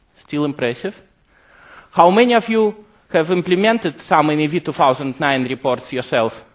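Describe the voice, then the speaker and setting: A man with a Russian accent speaks at a moderate pace in a fairly high pitch, his intonation lively. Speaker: software developer presenting product features. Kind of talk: conference presentation. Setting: stage with audience.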